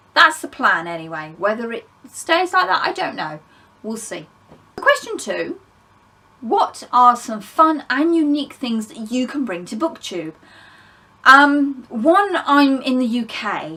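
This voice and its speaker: A woman's high, bright and sharp voice in an English accent, raised and projected, at a fairly slow pace with very wide pitch swings and big swings in loudness. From England. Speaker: book vlogger. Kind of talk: casual vlog monologue. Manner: conversational, with fillers.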